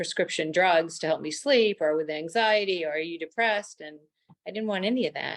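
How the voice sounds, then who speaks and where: A woman's unremarkable speaking voice at medium pitch, with ordinary pitch variation. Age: 60s. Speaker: menopause story guest, cancer survivor. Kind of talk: interview testimony.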